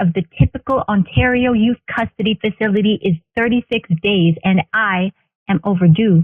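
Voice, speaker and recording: With an unremarkable speaking voice, a woman talks at a fairly high pitch with lively intonation. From Northern Ontario, Canada. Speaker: spoken word poet. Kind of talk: spoken word poetry performance.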